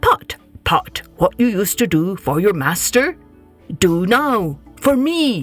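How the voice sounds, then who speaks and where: A woman in a put-on character voice speaks at a medium pitch and a fairly slow pace, her pitch swinging very widely, with faint music in the background. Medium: read story.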